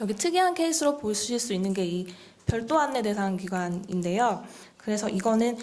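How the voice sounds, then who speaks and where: Her pitch swings very widely as this woman talks. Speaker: training program official presenter. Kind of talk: briefing presentation. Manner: fast; formal.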